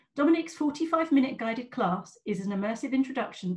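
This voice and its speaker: Against a quiet background, a woman speaks in a somewhat breathy voice with very wide pitch swings. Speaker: event host. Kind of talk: event hosting. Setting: video call. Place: home room. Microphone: webcam.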